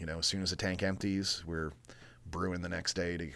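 A man with an American accent speaks in a very deep, low pitch and flat monotone on a very clean recording with a silent background. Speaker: brewery co-founder and brewer. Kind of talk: casual chat. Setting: studio.

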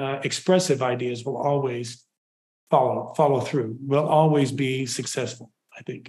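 A man's fairly high-pitched, normal speaking voice, moderate in pace, with fairly even intonation. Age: 60s. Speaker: percussion professor. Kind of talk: interview. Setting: video call.

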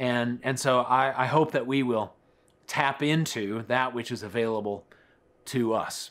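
A man's medium-pitched voice with an American accent, fairly even intonation, and a very clean recording over a silent background. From Colorado. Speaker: pastor. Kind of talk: sermon.

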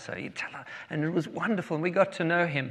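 Speaking with a South African accent, a man uses a fairly high pitch with ordinary pitch variation. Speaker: guest preacher. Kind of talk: sermon. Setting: church.

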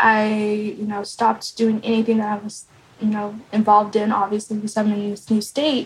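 Speaking fairly quickly with an American accent, a woman keeps her fairly high voice monotone and flat. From US Midwest, Kansas. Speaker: photographer and multimedia journalist. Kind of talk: interview. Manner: casual, many fillers.

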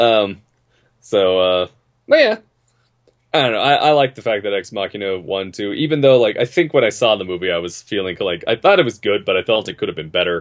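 A man with a plain, everyday voice and a fairly low pitch talks at a fairly quick pace with lively intonation. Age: 30s. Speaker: podcast co-host. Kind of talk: casual chat.

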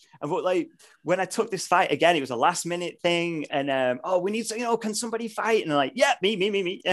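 Talking at a very fast pace, this man has a British accent. His voice is high, with lively intonation. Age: 30s. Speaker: martial artist and vegan YouTuber. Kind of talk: casual chat.

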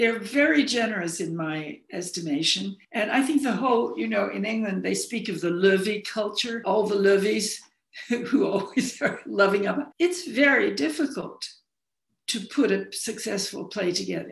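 A woman with an American accent has an unremarkable speaking voice at a medium pitch. She speaks at a moderate pace with lively intonation. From US Southwest, Arizona (Phoenix). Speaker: novelist and playwright. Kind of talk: interview.

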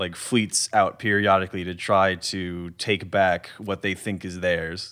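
Here is a man with an unremarkable speaking voice at a fairly low pitch, going at a fairly slow pace. The recording is very clean, with a silent background. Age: 20s. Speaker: game master. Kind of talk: casual chat, tabletop game podcast.

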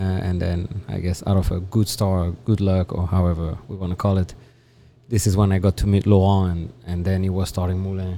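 Spoken in a French accent, the voice has a dark, mellow tone. It moves at a fairly quick pace with monotone, flat intonation. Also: man, very deep, low pitch for a man. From France, Toulouse (southwest). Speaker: chef and restaurant owner. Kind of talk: interview. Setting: at his restaurant.

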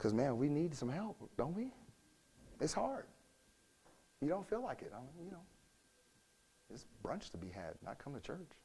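A man's fairly high voice with vocal fry and a dark, mellow tone, very wide pitch swings, big swings in loudness, a moderate pace, and long, frequent pauses. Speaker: pastor. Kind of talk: sermon.

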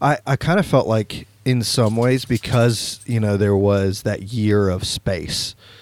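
A man with an unremarkable speaking voice talks in a fairly low pitch with ordinary pitch variation, on a very clean recording with a silent background. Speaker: podcast host. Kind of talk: casual chat.

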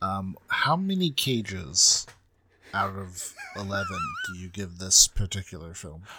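Over noticeable background noise, a man speaks at a fairly slow pace with big swings in loudness. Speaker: podcast co-host. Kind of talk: casual comedic banter.

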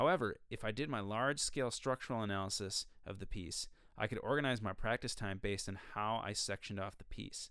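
A man with an American accent talks very fast. His pitch is fairly low. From Minnesota. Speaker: podcast host, musician and music teacher. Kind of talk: solo educational monologue. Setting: recording studio. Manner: hesitant with fillers and restarts.

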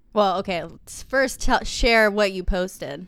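Here is a woman with an unremarkable speaking voice at a medium pitch. She talks at a moderate pace with ordinary pitch variation. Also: very clean recording, silent background. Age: 20s. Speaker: podcast co-host. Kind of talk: casual chat.

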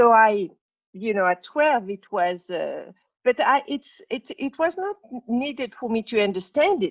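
At a fairly slow pace, a woman with a French accent speaks at a fairly high pitch with very wide pitch swings, the sound dry and close with no echo. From Morocco. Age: 60s. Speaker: spiritual teacher. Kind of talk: interview.

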